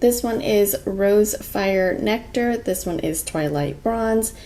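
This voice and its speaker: A woman is speaking. There is noticeable background noise behind her. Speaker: beauty vlogger. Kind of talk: makeup tutorial chat. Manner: louder, less monotone than usual; casual, with many filler words.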